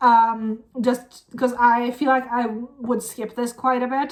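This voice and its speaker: A woman speaks with a Norwegian accent. Her pitch is high. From Norway. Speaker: music reaction youtuber. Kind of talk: casual reaction commentary. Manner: animated.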